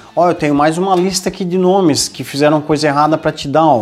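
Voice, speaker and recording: This man's voice sits fairly high in pitch. He talks at a fairly quick pace. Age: 40s. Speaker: podcast host, leadership coach. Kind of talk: casual chat. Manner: animated.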